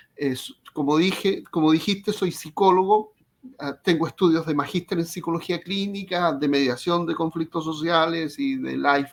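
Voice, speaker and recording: Speaking with a Chilean accent, a man uses a fairly high pitch. His pace is fairly slow and his intonation lively. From Chile, Concepción. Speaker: psychologist. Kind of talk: interview. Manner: halting, repeats words.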